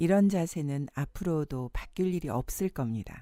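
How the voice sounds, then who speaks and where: A woman with a dark, mellow tone and fairly low pitch talks at a fairly slow pace, her pitch swinging very widely, in a very clean recording with a silent background. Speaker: voice actor. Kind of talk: audiobook-style book reading.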